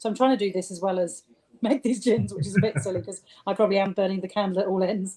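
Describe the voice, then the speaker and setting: With a southern English accent, the dark, mellow voice moves at a very fast pace with ordinary pitch variation. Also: woman, medium pitch for a woman. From southern England (rural Sussex). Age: 50s. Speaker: gin distiller. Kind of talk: interview.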